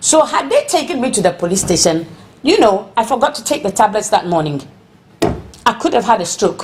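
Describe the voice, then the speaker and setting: Moderately paced, a woman speaks in a fairly high pitch. Her tone is animated, and her pitch swings very widely. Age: 60s. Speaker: protester. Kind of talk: interview.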